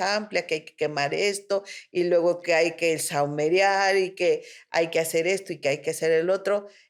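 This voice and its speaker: A woman with a Mexican accent speaks at a fairly slow pace in a fairly low voice, her intonation fairly even, on a very clean recording with a silent background. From Mexico. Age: 60s. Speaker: spiritual therapist. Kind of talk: interview conversation.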